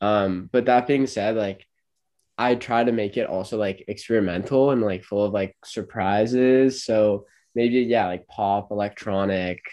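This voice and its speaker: At a fairly slow pace, a man speaks in a plain, everyday voice, fairly low in pitch, with fairly even intonation. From Los Angeles, California. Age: 20s. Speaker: singer-songwriter and college student. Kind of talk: casual interview.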